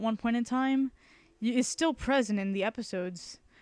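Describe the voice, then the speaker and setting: Recorded very cleanly against a silent background, a woman's fairly high-pitched voice sounds dry and close with no echo. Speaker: illustrator. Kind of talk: casual talk while drawing.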